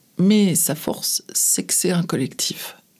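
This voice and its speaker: Fairly low pitch for a woman, ordinary pitch variation throughout. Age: 50s. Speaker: advertising agency head. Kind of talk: interview. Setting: studio. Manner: halting.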